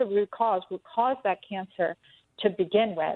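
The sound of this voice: At a moderate pace, a woman speaks at a medium pitch with ordinary pitch variation, in a dry, close sound with no echo.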